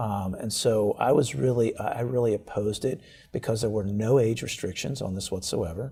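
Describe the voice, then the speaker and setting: A man's dark, mellow, somewhat breathy voice of medium pitch, moving at a fairly quick pace. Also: ordinary pitch variation. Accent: American. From Baltimore, Maryland, US. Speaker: state's attorney. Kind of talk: interview. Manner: repetitive, hesitant with fillers.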